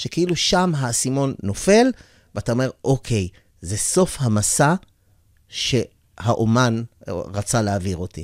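A man at a very slow pace with long, frequent pauses and very wide pitch swings, in a dry sound with no echo against a quiet background. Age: old. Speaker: radio interviewer. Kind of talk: interview conversation. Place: studio. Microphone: studio mic.

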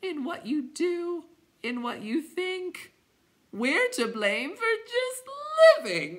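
A put-on character voice pitched extremely high. It moves at a very slow pace. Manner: mournful, groaning.

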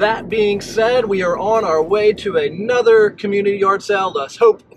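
The clip has noticeable background noise and a dry sound with no echo. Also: man. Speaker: yard sale reseller vlogger. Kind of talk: casual vlog chat. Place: car. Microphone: phone near.

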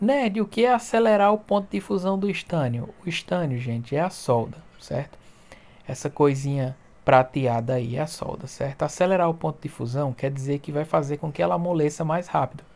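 Pitch swings very widely in a man's fairly high voice. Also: moderate pace. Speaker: phone repair youtuber. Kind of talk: tutorial. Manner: animated.

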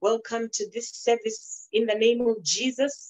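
A woman talks at a fairly slow pace. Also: quiet background. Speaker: pastor. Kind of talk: prayer then sermon welcome. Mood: fervent, devotional. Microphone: phone near.

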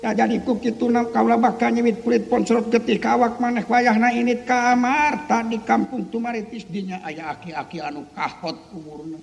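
This man uses a cartoonish character voice at an extremely high pitch. Clear background noise runs behind him. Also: moderate pace. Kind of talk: Sundanese puppet-theatre dialogue. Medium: puppet show. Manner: angry, shouting, menacing.

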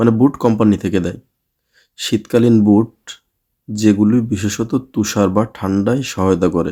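With a dark, mellow tone and fairly even intonation, the voice comes through on a very clean recording with a silent background. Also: man, fairly low pitch for a man. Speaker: YouTube vlogger. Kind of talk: reading aloud a list; casual vlog talk.

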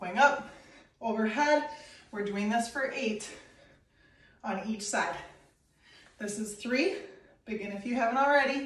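A woman talks at a moderate speed, her pitch rising and falling in an ordinary way, with audible echo from the room. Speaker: fitness instructor. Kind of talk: workout instruction and counting. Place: home room. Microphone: camera far.

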